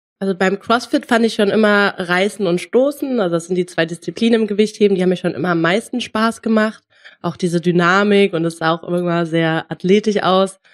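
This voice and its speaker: A woman speaks at a fairly quick pace and medium pitch. Hers is a normal speaking voice with ordinary pitch variation. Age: 20s. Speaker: powerlifter and sports student. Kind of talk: casual interview.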